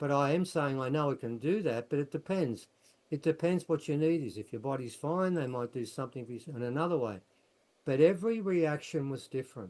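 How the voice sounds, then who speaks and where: Talking at a fairly quick pace with lively intonation, a man with an Australian accent has a fairly high-pitched voice. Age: 70s. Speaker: researcher and author. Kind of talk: casual chat. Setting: video call.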